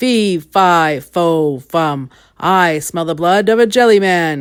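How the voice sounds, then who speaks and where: A booming, put-on character voice at a middle pitch. The recording is very clean, with a silent background. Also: fairly slow pace. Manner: menacing.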